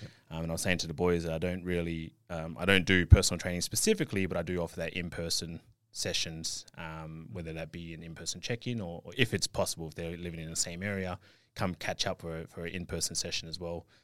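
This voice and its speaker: A very deep, low-pitched male voice at a very fast pace, with fairly even intonation, big swings in loudness, and a very clean recording over a silent background. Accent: Australian. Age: 30s. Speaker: online fitness coach and natural bodybuilder. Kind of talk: interview. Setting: studio.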